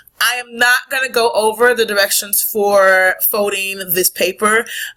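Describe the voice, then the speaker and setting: A loud woman's voice with a bright, sharp tone. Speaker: middle school teacher. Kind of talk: recorded lesson.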